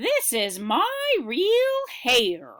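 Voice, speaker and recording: A put-on character voice from a woman, high-pitched and cheerful, with an upbeat tone. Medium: read story. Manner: cheerful, upbeat.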